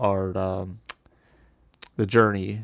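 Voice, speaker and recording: Mumbling with a fairly even intonation. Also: man. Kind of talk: casual commentary rant. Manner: hesitant, halting, many pauses and mumbles.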